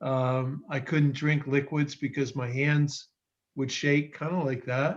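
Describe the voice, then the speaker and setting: A man speaks at a fairly slow pace in a fairly high pitch, somewhat breathy, with monotone, flat intonation. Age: 60s. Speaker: participant sharing product testimony. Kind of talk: testimony.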